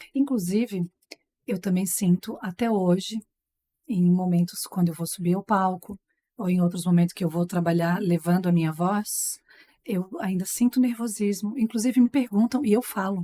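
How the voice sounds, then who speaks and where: A woman's dark, mellow tone at a moderate pace, with ordinary pitch variation and a dry, close sound with no echo. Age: 40s. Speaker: TV presenter and master of ceremonies. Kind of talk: casual chat.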